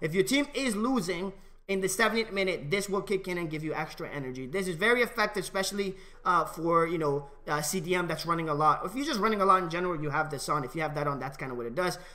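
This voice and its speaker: A man's high pitch and lively intonation at a very fast pace. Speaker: gaming video creator. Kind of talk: tutorial. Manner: casual, with many fillers. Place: home room. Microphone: headset.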